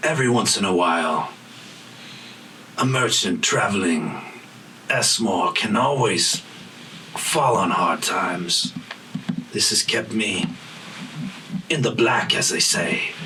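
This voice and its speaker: A man performs a put-on character voice at a medium pitch and a fairly slow pace, with long, frequent pauses. His loudness stays very even, while background noise is clearly audible. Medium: actual play. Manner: guarded, terse, knowing.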